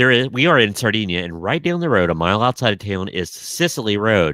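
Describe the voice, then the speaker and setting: Speaking with an American accent, a man talks at a fairly quick pace in a bright, sharp tone. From Southern Ohio. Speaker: podcast co-host. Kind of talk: casual chat.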